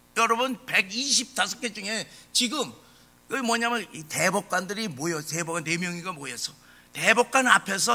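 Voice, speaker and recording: Over music in the background, a man uses a raised, projected voice with lively intonation at a moderate pace. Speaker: pastor. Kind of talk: sermon. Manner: impassioned.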